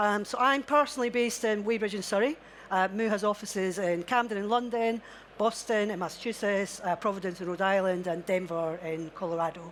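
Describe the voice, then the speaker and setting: With a Scottish accent, a woman speaks at a fairly quick pace. Her medium-pitched voice has ordinary pitch variation. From Scotland. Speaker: technology executive. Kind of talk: live panel discussion. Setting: stage with audience. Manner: halting, many fillers.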